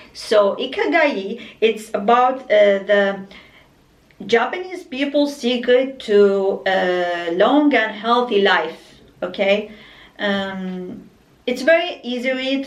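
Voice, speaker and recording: Very slow, fairly high-pitched female speech with ordinary pitch variation and audible room echo. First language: Arabic. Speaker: book vlogger. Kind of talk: casual book review monologue. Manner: halting, many fillers and restarts.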